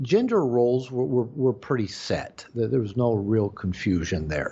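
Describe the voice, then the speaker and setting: A man speaks with an American accent. His voice is somewhat breathy, with lively intonation. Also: medium pitch for a man, moderate pace. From US Pacific Northwest, Seattle suburb. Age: 60s. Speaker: psychotherapist and author on men's issues. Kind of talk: interview conversation. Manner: halting, many repetitions and fillers.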